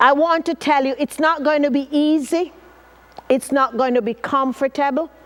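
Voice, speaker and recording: Over noticeable background noise, a woman with a Jamaican accent speaks at a moderate pace in a high pitch with an animated tone. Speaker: motivational speaker. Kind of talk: motivational talk.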